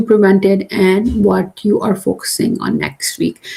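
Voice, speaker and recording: Somewhat breathy, a woman speaks at a fairly slow pace in a dark, mellow tone. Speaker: career coach and class host. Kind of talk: live online class. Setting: livestream.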